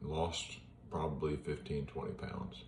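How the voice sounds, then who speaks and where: Room echo is audible and background noise noticeable as a man talks fairly slowly. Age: 60s. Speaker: retired police officer sharing his cancer journey. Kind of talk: personal vlog monologue. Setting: at home in front of an iPad. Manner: casual, with hesitations.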